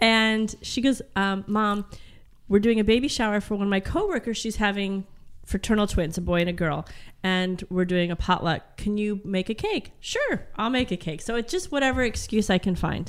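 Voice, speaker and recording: Here is a woman with a plain, everyday voice at medium pitch. She speaks at a moderate pace with ordinary pitch variation. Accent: American. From Colorado. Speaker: PR executive and home baker. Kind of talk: casual chat.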